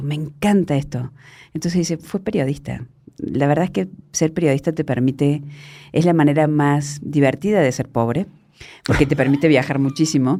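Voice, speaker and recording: The woman has a very deep, low pitch and a dark, mellow tone. She talks at a fairly quick pace with ordinary pitch variation. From Argentina (Córdoba province). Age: 50s. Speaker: journalist. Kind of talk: interview conversation.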